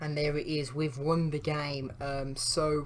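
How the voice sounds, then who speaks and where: A man's voice, fairly high in pitch. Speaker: gaming YouTuber. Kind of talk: gameplay commentary. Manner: casual, with many fillers; quieter than usual.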